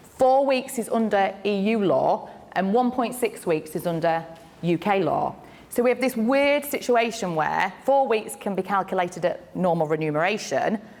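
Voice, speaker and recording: Noticeable background noise sits behind a voice with lively intonation moving at a moderate pace. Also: woman, medium pitch for a woman. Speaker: employment lawyer. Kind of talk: conference talk. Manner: loud.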